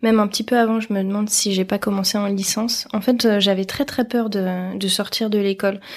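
A woman talks with a fairly high pitch. The recording is very clean, with a silent background. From Paris, France. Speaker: illustrator. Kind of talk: interview. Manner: hesitant, many fillers.

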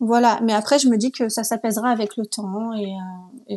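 The woman's fairly high voice carries a dark, mellow tone and fairly even intonation. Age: 30s. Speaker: guest sharing personal story. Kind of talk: testimony. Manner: hesitant, many fillers.

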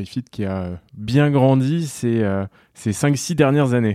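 A man speaks in a dark, mellow tone with ordinary pitch variation. The recording is very clean, with a silent background. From France, Mayenne (Laval). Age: 20s. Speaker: startup founder and CEO. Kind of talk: interview.

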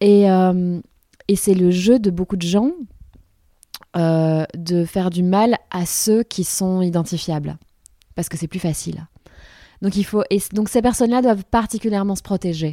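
In a very clean recording with a silent background and a dry, close sound free of echo, a woman with a medium pitch and a dark, mellow tone speaks at a fairly slow pace, with ordinary pitch variation and long, frequent pauses. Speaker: author and philosopher, TV columnist. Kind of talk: casual interview chat.

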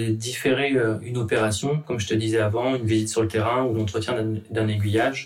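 Somewhat breathy man at a medium pitch, moderate pace and fairly even intonation. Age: 30s. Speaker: railway signalman. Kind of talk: workplace podcast interview. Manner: halting, repeats words.

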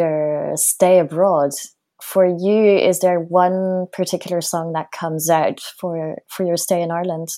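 A woman speaks with a French accent at a medium pitch. Her tone is dark and mellow. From France. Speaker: podcast host. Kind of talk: interview.

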